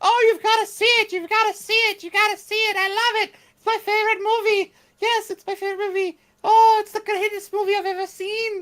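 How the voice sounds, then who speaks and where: An extremely high-pitched put-on character voice, flat and monotone, at a fairly quick pace. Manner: excited, gushing.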